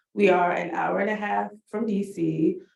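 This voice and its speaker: A woman talks with a Washington DC accent. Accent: Washington DC American English. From Washington DC (Southeast, Ward 8). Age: 30s. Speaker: farm community engagement coordinator, Air Force veteran. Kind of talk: panel discussion.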